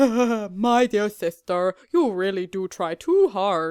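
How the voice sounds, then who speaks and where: This put-on character voice sits at a fairly high pitch. The delivery is very slow. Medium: read story. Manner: warm, teasing.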